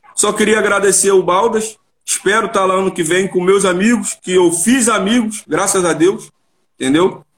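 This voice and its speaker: Here a man speaks at a high pitch with fairly even intonation. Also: moderate pace. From Rio de Janeiro, Vila da Penha. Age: 30s. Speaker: amateur football player. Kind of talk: casual chat.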